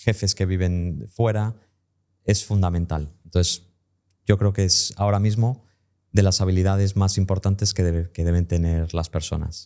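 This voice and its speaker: Very deep and low, a man's dark, mellow voice moves at a fairly slow pace with fairly even intonation on a very clean recording with a silent background. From US (Tampa, Florida), raised bilingual. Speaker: English teacher and entrepreneur. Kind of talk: podcast interview.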